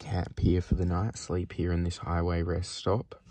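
The voice is somewhat breathy, with fairly even intonation. The sound is dry, with no echo. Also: man. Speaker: solo road-trip vlogger. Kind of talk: casual vlog chat. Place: car. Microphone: phone near.

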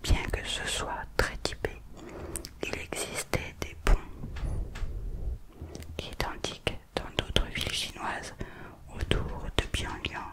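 A whispered voice moves at a very slow pace, broken by long, frequent pauses. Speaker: ASMR creator. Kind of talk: whispered ASMR reading of an art book. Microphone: studio mic.

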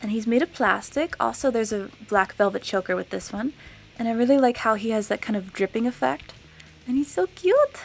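A woman with an American accent and lively intonation, at a moderate pace, with music in the background. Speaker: beauty YouTuber. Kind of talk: casual product-review vlog. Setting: filmed to camera. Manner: bubbly, laughs often.

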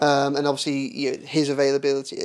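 Very fast male speech. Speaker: football correspondent. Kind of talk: football podcast analysis. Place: studio. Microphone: studio mic.

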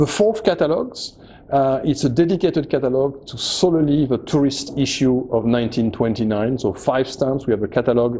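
Against light background noise, a man speaks at a fairly quick pace with ordinary pitch variation. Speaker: stamp auction specialist. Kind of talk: promotional presentation to camera. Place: office.

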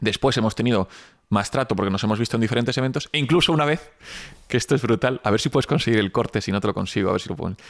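Someone talks at a very fast pace with ordinary pitch variation. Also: man, medium pitch for a man. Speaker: entrepreneur. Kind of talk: casual interview.

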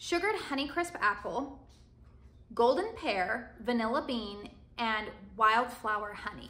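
Lively intonation from a woman with a high pitch. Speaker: candle reviewer. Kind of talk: casual vlog chat. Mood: friendly, upbeat. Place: home room. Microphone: phone near.

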